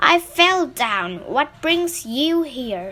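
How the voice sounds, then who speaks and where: A woman's put-on character voice, high in pitch, with very wide pitch swings. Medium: read story.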